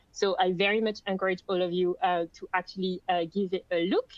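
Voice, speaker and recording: A woman speaks with a French accent. Her intonation is monotone and flat. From France. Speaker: content marketing lead. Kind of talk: webinar presentation. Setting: online webinar.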